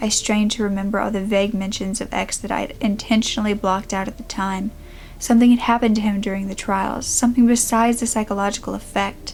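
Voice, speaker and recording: A woman speaks at a very fast pace in a fairly high pitch. Her intonation is monotone and flat, with noticeable background noise behind her. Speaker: creepypasta / true crime storyteller. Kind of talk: first-person horror story narration.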